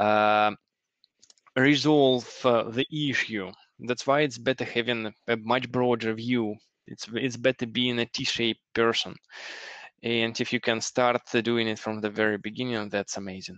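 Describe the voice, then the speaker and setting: At a fairly slow pace with long, frequent pauses, a man speaks in a medium pitch and a monotone, flat intonation against a quiet background. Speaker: software engineer and teacher. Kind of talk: interview. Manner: halting, many fillers.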